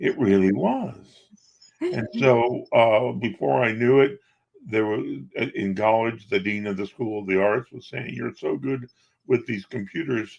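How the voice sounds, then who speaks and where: Speaking at a fairly slow pace, a man uses lively intonation at a medium pitch in a plain, everyday voice. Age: 60s. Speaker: magician, coach and business owner. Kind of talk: interview. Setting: podcast interview.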